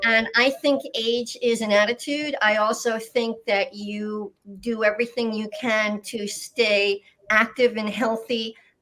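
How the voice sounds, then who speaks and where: A woman's plain, everyday voice, fairly high-pitched, at a fairly slow pace with fairly even intonation. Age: 60s. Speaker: healthcare executive. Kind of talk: video panel discussion.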